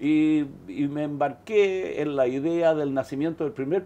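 A man speaks in a Chilean accent with a fairly high pitch and ordinary pitch variation. His tone is dark and mellow. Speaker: biochemist; interviewee. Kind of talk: interview; interview answer. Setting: studio. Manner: halting, many repetitions. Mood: reflective, calm recollection. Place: office.

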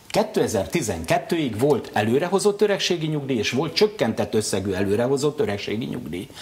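A man with a fairly high pitch talks at a fairly slow pace with very wide pitch swings and hardly any pauses. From Hungary. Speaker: politician. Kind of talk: TV interview. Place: studio.

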